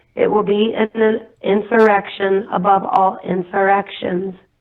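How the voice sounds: A woman at medium pitch, fairly slow in pace, with little pitch movement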